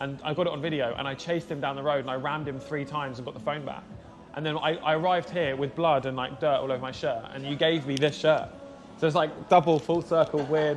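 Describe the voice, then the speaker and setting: A man with a southern English accent at a very fast pace and fairly high pitch, music in the background. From southern England, Surrey area. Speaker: motorcycle vlogger and streamer. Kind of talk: casual chat. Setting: live motorcycle stream. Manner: animated.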